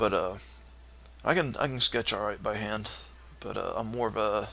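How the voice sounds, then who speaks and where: Here a man talks with a Southern US accent. His pace is fairly quick. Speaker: live-streaming coder and graphic artist. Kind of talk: casual live-stream chat. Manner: halting, many fillers.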